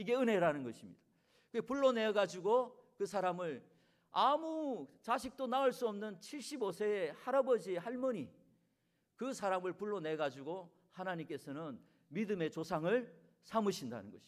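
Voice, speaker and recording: A high-pitched man in a Gangwon accent at a moderate pace, with very wide pitch swings and big swings in loudness. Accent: regional dialect, Gangwon (self-remarked). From Korea, Gangwon (Chuncheon). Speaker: guest pastor. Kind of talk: sermon. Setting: church.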